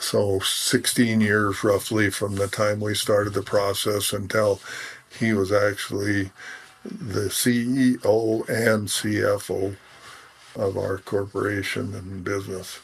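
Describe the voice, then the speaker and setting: A man's fairly low, flat monotone at a very slow pace, with noticeable background noise. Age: 70s. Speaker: rancher. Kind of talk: interview.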